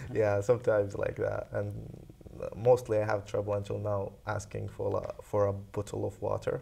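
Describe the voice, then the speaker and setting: A man talks with a non-native accent. His pace is moderate. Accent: foreign. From Saudi Arabia. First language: Arabic. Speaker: international student. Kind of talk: interview. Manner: halting.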